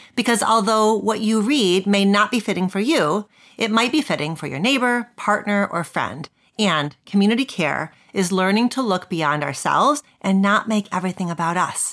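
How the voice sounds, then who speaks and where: This woman has an ordinary speaking voice at a medium pitch. She talks at a moderate pace with lively intonation. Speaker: podcast host, psychologist and professor. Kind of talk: interview, intro.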